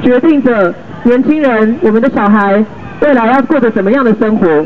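A man speaks at a moderate pace with extremely high pitch and ordinary pitch variation. Light background noise runs underneath. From Taiwan, Zhongli (Taoyuan); Taiwan. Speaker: local council candidate; council candidate. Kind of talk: campaign street speech. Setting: outdoors at train station, raised platform. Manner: impassioned. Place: street. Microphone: camera far.

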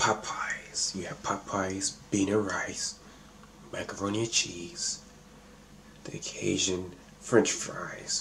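Very slowly, a man whispers his words. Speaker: mukbang vlogger. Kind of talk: casual vlog chat. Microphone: phone near.

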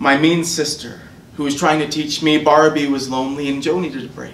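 A man talking at a fairly quick pace, with light background noise and audible room echo. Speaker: open mic poet. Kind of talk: poetry reading. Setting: stage with audience. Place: hall. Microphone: podium.

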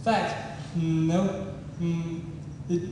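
Strong room echo over light background noise. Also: man. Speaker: stand-up comedian. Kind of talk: stand-up comedy routine. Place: stage.

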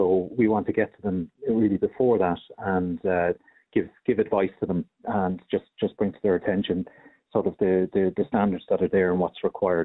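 A man with an Irish accent speaks at a fairly low pitch and a moderate pace, with monotone, flat intonation and very even loudness. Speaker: health and safety official. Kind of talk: radio interview. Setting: phone call.

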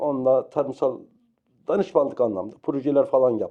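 This man talks at a moderate pace. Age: 60s. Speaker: retired veterinary health technician, interviewee. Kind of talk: interview. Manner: halting, many fillers.

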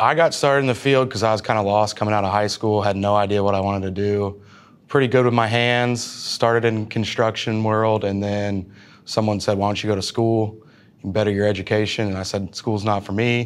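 A man talks at a fairly quick pace in a fairly low voice. His intonation stays fairly even. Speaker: welding instructor. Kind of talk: interview answer. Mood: relaxed, warm. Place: classroom. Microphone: lapel.

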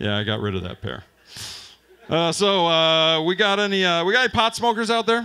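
Speaking at a fairly slow pace, a man uses a bright, sharp tone and very wide pitch swings over light background noise. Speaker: stand-up comedian. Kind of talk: stand-up comedy set, crude and profane, one-liners and punchlines. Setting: stage with live audience at open mic night. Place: bar.

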